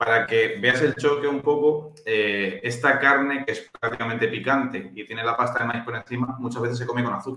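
With a normal speaking voice, a man talks at a fairly quick pace in a medium pitch, using fairly even intonation and hardly any pauses. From Spain, Valencia (born in Chile, moved at five). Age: 20s. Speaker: nutritionist. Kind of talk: casual chat.

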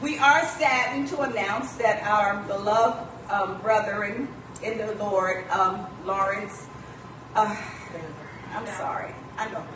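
Noticeable background noise and audible room echo surround a woman with a fairly high pitch and ordinary pitch variation. She talks at a fairly slow pace with long, frequent pauses. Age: old. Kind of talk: church announcements. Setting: church.

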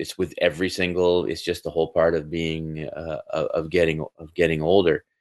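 The background is quiet. A man with a Canadian accent talks at a moderate pace. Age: 40s. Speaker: university teacher, former music producer. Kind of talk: casual interview chat.

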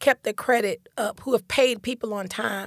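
A woman with an unremarkable speaking voice talks at a moderate speed, her fairly high pitch showing ordinary variation. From Detroit, raised in Central Florida. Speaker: real estate broker and community advocate. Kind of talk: casual interview conversation.

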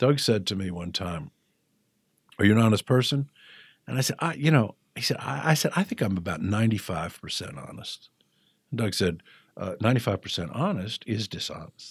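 In a dry, close recording with no echo, a man with a fairly low, somewhat breathy voice makes very wide pitch swings and takes long, frequent pauses. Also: very clean recording, silent background. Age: 60s. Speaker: person in addiction recovery. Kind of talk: personal testimony interview. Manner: hesitant with frequent fillers.

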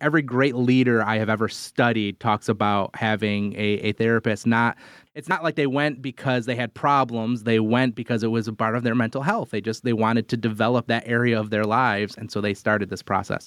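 A man with an unremarkable speaking voice, medium in pitch, talking at a fairly quick pace with fairly even intonation, in a dry, close sound with no echo on a very clean recording against a silent background. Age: 40s. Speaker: podcast host. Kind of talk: casual chat.

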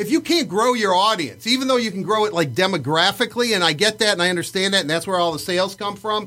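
A man with an American accent, high-pitched and in a raised, projected voice, very fast with lively intonation, on a very clean recording with a silent background. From Livonia, Michigan. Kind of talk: casual chat. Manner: talkative, rambling storyteller.

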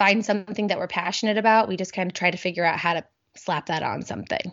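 A woman with an American accent at a very fast pace, with fairly even intonation. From US Midwest, Indianapolis north side. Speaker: small business owner. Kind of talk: interview.

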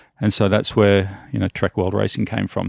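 Speaking fairly quickly at a fairly low pitch, a man has an Australian accent. The recording is very clean with a silent background, and the sound is dry and close with no echo. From Australia, northern Sydney. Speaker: mountain bike team manager. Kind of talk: interview.

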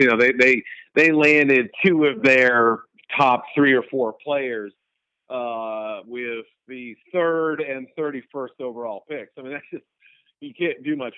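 This man has an unremarkable speaking voice with an American accent. His pitch sits in the medium range with ordinary pitch variation. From New England, US. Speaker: sports journalist. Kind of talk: interview.

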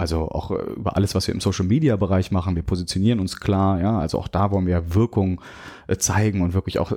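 A man's very deep, dark, mellow voice at a fairly quick pace with fairly even intonation, on a very clean recording with a silent background. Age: 30s. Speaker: bank sustainability manager. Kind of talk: interview.

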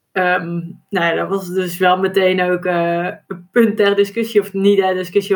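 At a moderate pace, a woman speaks with a medium pitch. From Brabant, Netherlands. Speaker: duathlon world champion and accountant. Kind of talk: podcast interview.

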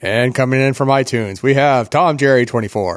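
Putting on a character voice, a man speaks at a medium pitch and a fairly quick pace. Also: very even loudness. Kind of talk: formal announcer delivery. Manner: broadcast announcer style.

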